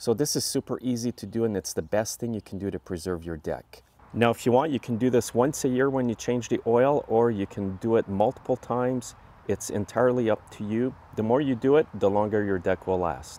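Speaking at a fairly quick pace with few pauses, a man has a fairly low pitch, ordinary pitch variation and a dark, mellow tone.

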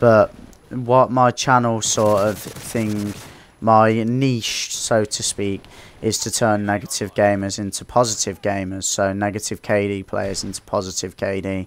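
Over noticeable background noise, a man speaks fairly slowly at a fairly low pitch with fairly even intonation. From Coventry, English Midlands. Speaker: gaming YouTuber. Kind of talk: casual vlog monologue.

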